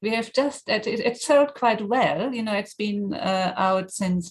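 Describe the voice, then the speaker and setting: A somewhat breathy woman with a German accent, at a moderate pace with ordinary pitch variation. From Germany. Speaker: mindfulness teacher and author. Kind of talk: interview.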